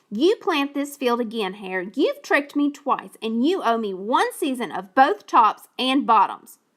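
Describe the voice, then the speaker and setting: Hardly any pauses interrupt a woman doing a high-pitched, put-on character voice at a moderate pace. The recording is very clean, with a silent background. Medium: read story. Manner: slow, grumbling.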